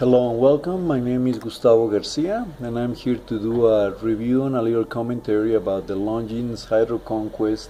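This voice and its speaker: A man with a non-native accent at medium pitch and a moderate pace, over noticeable background noise. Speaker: watch reviewer. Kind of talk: product review. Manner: halting, many fillers.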